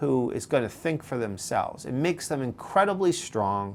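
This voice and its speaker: The speaker has a New York accent. The pace is moderate. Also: man. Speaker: podcast host, leadership coach. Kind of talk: advice monologue. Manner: conversational with frequent fillers; animated.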